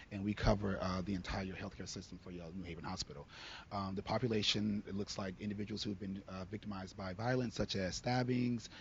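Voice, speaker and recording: A man speaks very fast in a fairly low, somewhat breathy voice. His intonation stays fairly even. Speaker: social worker on a panel. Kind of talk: panel discussion. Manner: fast-talking.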